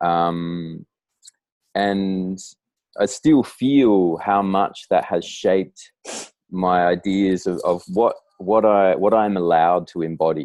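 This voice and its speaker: A man speaks at a very slow pace with an Australian accent. His very deep, low voice varies in pitch in an ordinary way. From Australia, Darwin. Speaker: writer and poet. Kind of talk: casual interview conversation. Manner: halting, many fillers and restarts.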